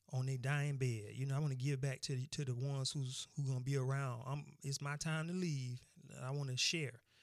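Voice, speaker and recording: This man talks at a fairly quick pace in a medium pitch, his intonation monotone and flat and his loudness very even. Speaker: podcast host. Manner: casual and friendly at the start and end, with greetings and sign-offs.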